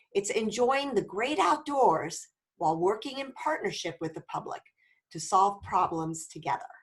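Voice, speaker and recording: A woman speaks at a moderate pace in a somewhat breathy voice, with very wide pitch swings and big swings in loudness. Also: medium pitch for a woman. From France (Paris). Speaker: volunteer trainer. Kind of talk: training presentation.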